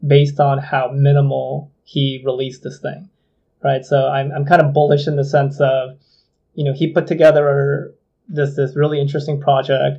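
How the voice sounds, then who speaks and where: A man speaks at a moderate pace with a fairly high pitch and a somewhat breathy sound. His intonation stays monotone and flat. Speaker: games industry executive. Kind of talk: casual chat.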